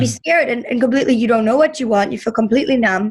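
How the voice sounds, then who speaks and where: Vocal fry runs through a woman's fairly high-pitched voice. Her pitch varies in an ordinary way. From Germany (Berlin). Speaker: business coach. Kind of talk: interview conversation.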